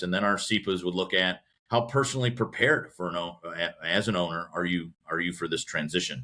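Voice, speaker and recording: The speaker has a Midwestern American accent, a bright, sharp tone and ordinary pitch variation. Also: man. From US Midwest, Cleveland, Ohio. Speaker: business association president. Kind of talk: podcast interview.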